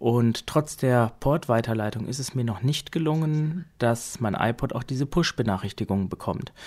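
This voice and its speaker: Heard on a very clean recording with a silent background, a man has an ordinary speaking voice at medium pitch. He keeps a moderate pace with hardly any pauses and ordinary pitch variation. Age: 30s. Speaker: podcast host reviewing assistive tech. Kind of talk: casual tech review podcast.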